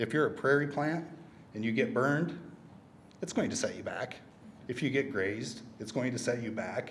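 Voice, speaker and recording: A man with an American accent speaks in a somewhat breathy voice with ordinary pitch variation. He leaves long, frequent pauses, and light background noise is present. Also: moderate pace. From US Midwest. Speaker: conservation land manager. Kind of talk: conference presentation. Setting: stage with audience, microphone. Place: hall. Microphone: podium.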